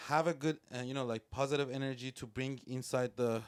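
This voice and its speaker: Talking at a fairly quick pace, a man with a Persian accent has a medium pitch and ordinary pitch variation. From Iran. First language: Persian (Farsi). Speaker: music producer and rapper. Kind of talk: casual podcast interview. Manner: halting, with many fillers.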